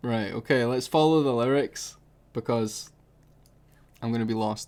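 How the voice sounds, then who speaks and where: A man speaks at a moderate pace with a Scottish accent. His pitch sits in the medium range and his intonation stays fairly even. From Scotland. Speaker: music reaction youtuber. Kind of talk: casual reaction commentary.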